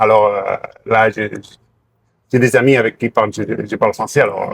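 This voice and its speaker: At a fairly slow pace, a man speaks with a dry, close sound with no echo. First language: Catalan (speaking French). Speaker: sports doctor. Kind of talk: interview. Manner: halting, many hesitations.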